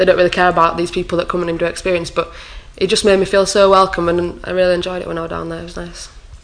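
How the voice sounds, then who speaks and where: A woman talks at a very fast pace, her fairly low pitch held in a monotone, flat intonation. Her loudness swings widely, and there is noticeable background noise. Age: 20s. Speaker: sports logistics coordinator. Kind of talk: casual chat.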